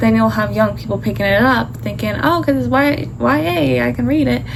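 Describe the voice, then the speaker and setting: A woman's voice amid noticeable background noise and audible room echo. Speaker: author vlogger. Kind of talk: casual vlog chat.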